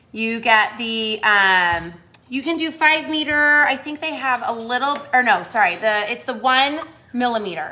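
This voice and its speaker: At a fairly slow pace, a woman speaks loudly in a high, bright, sharp voice with lively intonation. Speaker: cheer coach teaching crafts. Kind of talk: craft tutorial on a live video. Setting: live stream. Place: home room. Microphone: phone near.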